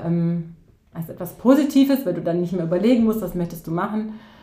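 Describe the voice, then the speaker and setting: With audible room echo around her, a woman speaks at a moderate pace in a medium pitch, her somewhat breathy voice carrying a dark, mellow tone and ordinary pitch variation. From southern Germany, near Ulm (Swabia). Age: 40s. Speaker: teacher and coach. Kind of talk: interview. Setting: in person, studio.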